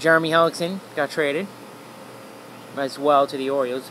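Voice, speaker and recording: A man talks while noticeable noise fills the background. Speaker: sports livestreamer. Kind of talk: casual livestream commentary. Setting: outdoors. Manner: fast.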